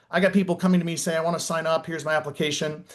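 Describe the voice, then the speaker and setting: A man with an American accent rattles off his words at a very fast pace. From northern Minnesota. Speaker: network marketing business leader. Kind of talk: motivational team call.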